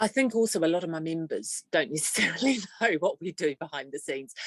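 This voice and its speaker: A woman with a New Zealand accent speaks at a fairly quick pace with very wide pitch swings, in a dry, close sound with no echo. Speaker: trade association executive. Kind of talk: podcast interview.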